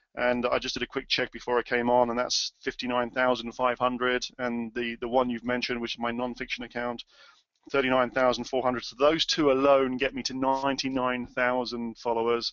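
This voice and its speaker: Medium-pitched male speech, monotone and flat, at a fairly quick pace. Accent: British. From UK. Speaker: author and webinar presenter. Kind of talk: webinar presentation. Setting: webinar. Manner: halting, many fillers.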